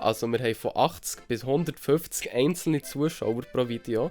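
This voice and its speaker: This is a man with an ordinary speaking voice, fairly high in pitch. He keeps a moderate pace and ordinary pitch variation. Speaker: vlogger. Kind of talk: casual talk to camera.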